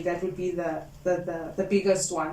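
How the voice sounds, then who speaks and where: A woman speaks at a moderate pace and medium pitch in a monotone, flat intonation. There is audible room echo and noticeable background noise. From South Africa, Cape Flats. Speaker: candidate attorney. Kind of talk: interview.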